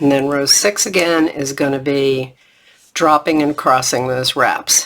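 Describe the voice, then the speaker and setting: Noticeable background noise sits behind speech that unfolds at a fairly slow pace. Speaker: knitting instructor. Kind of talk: tutorial. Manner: repetitive step-by-step instruction.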